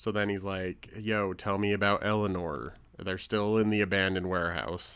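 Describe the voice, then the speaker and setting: A man with an unremarkable speaking voice, a moderate pace and fairly even intonation. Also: fairly low pitch for a man. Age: 30s. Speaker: podcast co-host. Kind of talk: casual chat.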